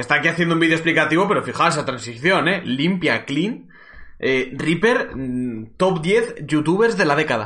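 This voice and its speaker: Speaking at a moderate pace, a man with a Castilian accent has a fairly high pitch. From Spain, Cuenca. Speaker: esports streamer and caster. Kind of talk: live stream commentary, casual. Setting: live stream from home. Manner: animated.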